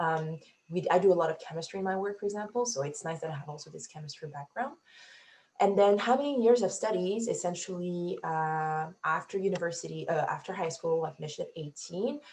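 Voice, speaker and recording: Speaking at a fairly quick pace, a woman with a fairly low, somewhat breathy voice uses lively intonation and big swings in loudness. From Africa. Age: 20s. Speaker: PhD student, scientist. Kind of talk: Q&A panel answers.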